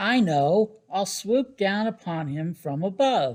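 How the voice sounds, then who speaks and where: Pitched in the middle, a put-on character voice moves at a fairly slow pace. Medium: read story. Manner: boastful, competitive.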